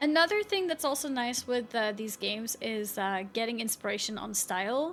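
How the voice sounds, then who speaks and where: With an American accent, a woman speaks at a moderate pace with lively intonation and a fairly high pitch. Music plays in the background. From Sweden. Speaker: video game streamer. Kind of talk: live gaming stream commentary. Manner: casual, chatty with fillers.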